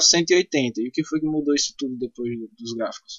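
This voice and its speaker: This is a man speaking. His pace is moderate. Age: 20s. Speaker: podcast host. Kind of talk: casual interview.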